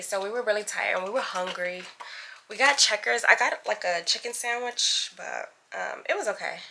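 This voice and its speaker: Fairly quick speech from a woman with a fairly high pitch and ordinary pitch variation, over noticeable background noise. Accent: American. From New York City, Brooklyn. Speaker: vlogger. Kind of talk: casual vlog chat. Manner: animated.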